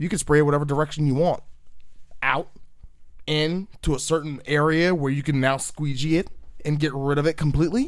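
Speaking at a fairly quick pace in an animated tone, a man with a fairly high pitch takes long, frequent pauses. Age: 30s. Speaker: podcast host. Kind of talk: casual chat.

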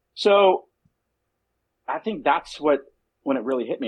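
A man talks at a moderate pace in an American accent. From Southern California and Mexico City. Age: 30s. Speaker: cigar company founder. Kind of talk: interview.

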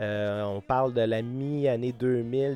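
A man with a Quebec accent and a medium pitch, in a dry, close sound with no echo and a quiet background. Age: 30s. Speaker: musician. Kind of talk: casual interview.

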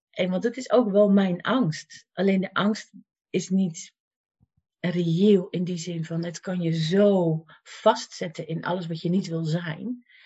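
A woman speaks at a very slow pace in a medium pitch. Her voice is somewhat breathy, with fairly even intonation. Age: 50s. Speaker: life coach and cancer patient. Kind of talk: interview.

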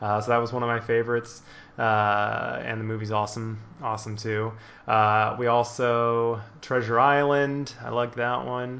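A man speaks at a moderate pace in a medium pitch, his intonation monotone and flat. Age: 20s. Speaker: podcast host. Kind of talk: casual chat.

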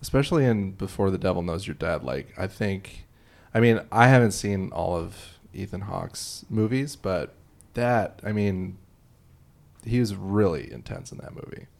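A man with an American accent uses a normal speaking voice, fairly low in pitch with ordinary pitch variation, at a moderate pace. His loudness swings widely on a very clean recording with a silent background. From Illinois. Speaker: TV research director and comedian. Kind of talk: casual chat about movies.

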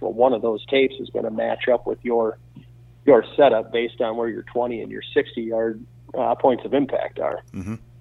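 A man at a moderate pace in a Wisconsin accent. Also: big swings in loudness. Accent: Upper Midwest (Wisconsin). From central Wisconsin. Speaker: archery equipment company owner. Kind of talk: casual interview.

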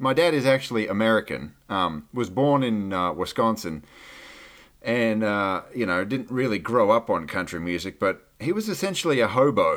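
A man with an Australian accent, lively intonation and a moderate pace, on a very clean recording with a silent background. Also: medium pitch for a man. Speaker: podcaster and radio DJ. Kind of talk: casual interview chat.

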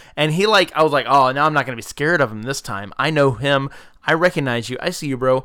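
Talking at a very fast pace, a man with an American accent uses a fairly high pitch with ordinary pitch variation. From US South, South Georgia. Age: 30s. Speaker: podcast host. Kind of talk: casual chat. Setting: home. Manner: animated.

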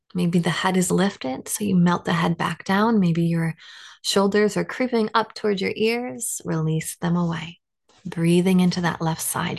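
Here is a normal speaking voice from a woman, fairly low-pitched with ordinary pitch variation. The background is quiet. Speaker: yoga instructor. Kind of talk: guided yoga class instruction, cueing poses and breath step by step. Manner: slow, gentle and soothing, with unhurried pacing between breath cues; warm, reassuring and encouraging, nonjudgmental tone.

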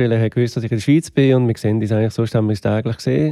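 A man with a dark, mellow tone, recorded dry and close with no echo. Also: very clean recording, silent background. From Switzerland, Aargau (Möhlin). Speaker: drummer. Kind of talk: casual interview. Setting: home studio.

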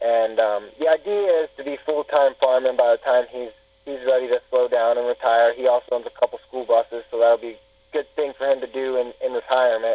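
This man has an ordinary speaking voice at a medium pitch with ordinary pitch variation. He speaks at a fairly quick pace. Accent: American. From north central Pennsylvania. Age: 20s. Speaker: pig farmer. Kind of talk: casual interview.

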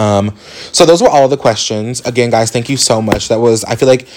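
A man speaks with an American accent. Background noise is noticeable. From Indianapolis, Indiana, US Midwest. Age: 20s. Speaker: podcast host. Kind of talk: casual monologue. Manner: halting, many fillers.

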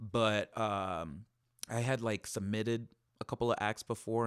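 A man speaks at a fairly low pitch. The recording is very clean with a silent background, and the sound is dry and close with no echo. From Miami, Cuban-American. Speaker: burlesque dancer. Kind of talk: interview. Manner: animated.

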